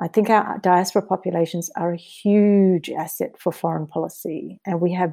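Here a woman speaks at a moderate pace. Her tone is dark and mellow. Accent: Australian. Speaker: diplomat. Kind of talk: interview. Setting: remote call.

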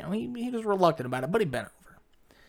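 An animated voice moves at a fairly quick pace in a very clean recording with a silent background. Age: 30s. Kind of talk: casual storytelling monologue.

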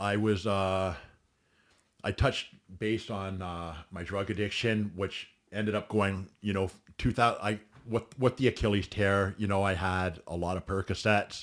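At a fairly slow pace and with fairly even intonation, an ordinary speaking voice comes through on a very clean recording with a silent background. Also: man, fairly low pitch for a man. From Ontario, Canada (Caledon). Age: 40s. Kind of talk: casual chat.

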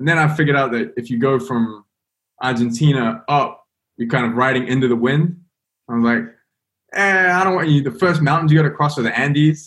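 Fairly high in pitch, a man talks at a fairly quick pace with a London accent and ordinary pitch variation. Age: 30s. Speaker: adventure cyclist and author. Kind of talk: casual interview chat. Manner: halting, many fillers and restarts.

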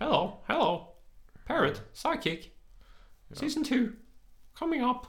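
In a squeaky put-on character voice, a man speaks at an extremely high pitch. His pace is fairly slow, with long, frequent pauses.

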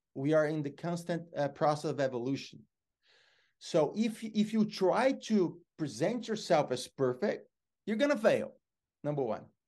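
A man's high-pitched voice with a dark, mellow tone, very wide pitch swings, moderate pace, and long, frequent pauses over a quiet background. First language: Portuguese. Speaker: motivational speaker. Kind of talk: interview.

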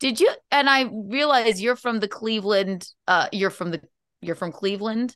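At a moderate pace, a woman with an American accent speaks with a fairly high pitch and ordinary pitch variation. Hers is an unremarkable speaking voice. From South Carolina. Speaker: comedian and podcaster. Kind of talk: casual chat.

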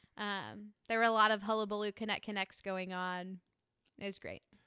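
A woman with a Texan accent speaks at a fairly quick pace in a bright, sharp tone against a quiet background. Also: dry, close sound with no echo. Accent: Texan American. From Austin, Texas. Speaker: summer camp staff. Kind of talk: casual chat. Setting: living room. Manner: animated.

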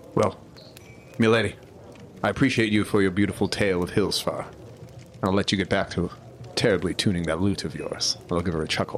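Fairly quick speech broken by long, frequent pauses, with ordinary pitch variation and noticeable background noise. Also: man, fairly low pitch for a man. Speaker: tabletop game player. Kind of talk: tabletop role-playing game session.

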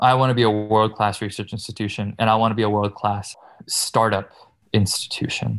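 A flat, monotone delivery moves along at a fairly quick pace. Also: man, fairly low pitch for a man. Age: 20s. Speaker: DAO founder. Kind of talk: interview. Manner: halting, many fillers.

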